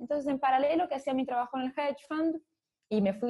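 The background is quiet as a woman speaks. Her tone is dark and mellow, and her pitch is high. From Brazil, São Paulo. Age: 30s. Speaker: fintech executive. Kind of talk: interview. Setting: remote call.

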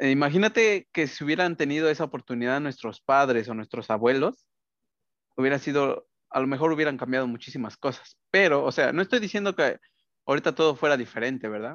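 A man in a normal speaking voice, fairly high in pitch, with lively intonation at a fairly quick pace. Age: 20s. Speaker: podcast co-host, granite company worker. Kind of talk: casual chat.

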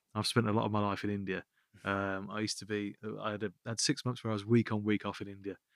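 Speaking very fast in a Birmingham accent, a man keeps a fairly low pitch and monotone, flat intonation, recorded with a dry, close sound and no echo. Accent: Birmingham (Brummie) English. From Birmingham, England. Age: 40s. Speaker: app founder. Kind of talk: interview. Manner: halting, repetitive.

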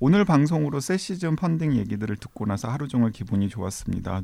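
A man speaks at a fairly quick pace with hardly any pauses, his voice at a medium pitch. His tone is dark and mellow, and his pitch swings very widely. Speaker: podcast host. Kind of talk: casual chat.

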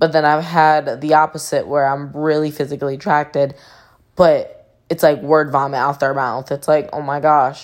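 At a moderate pace, a woman speaks with a very deep, low pitch and monotone, flat intonation in a very clean recording with a silent background. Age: 20s. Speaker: podcast host. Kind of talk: casual monologue. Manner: quiet, low voice.

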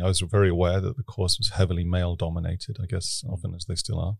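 Somewhat breathy, a man with a British accent speaks at a fairly low pitch with fairly even intonation. The recording is very clean with a silent background. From Britain. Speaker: urban innovation expert. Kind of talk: interview conversation. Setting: studio.

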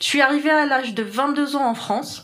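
A woman speaks at a fairly slow pace with an Algerian accent. Her pitch varies in an ordinary way. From Algeria, Algiers. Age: 20s. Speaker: software developer. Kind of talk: interview. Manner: hesitant, many fillers.

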